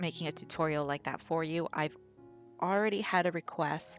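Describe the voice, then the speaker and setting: Very deep, low female voice at a moderate pace, over music in the background. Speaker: digital artist. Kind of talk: unscripted voiceover Q&A over a speedpaint. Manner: rambling, hesitant.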